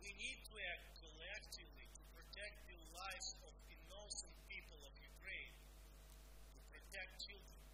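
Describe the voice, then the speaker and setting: Loud background noise around a man talking at a moderate pace. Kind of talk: formal address. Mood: serious, earnest. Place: office.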